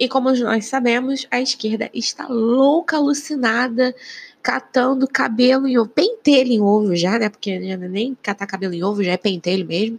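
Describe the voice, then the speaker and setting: Heard with a dry, close sound and no echo, a woman with a plain, everyday voice speaks at a moderate pace and fairly high pitch, with ordinary pitch variation. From Rio de Janeiro, Brazil. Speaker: podcaster and YouTuber. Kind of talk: solo political commentary. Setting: living room at home. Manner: casual, chatty.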